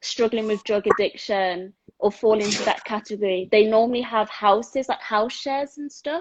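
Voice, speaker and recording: This woman has a normal speaking voice at a fairly high pitch. She keeps a moderate pace and ordinary pitch variation. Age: 20s. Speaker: sports therapist and dyslexia advocate. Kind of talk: casual chat. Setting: video call.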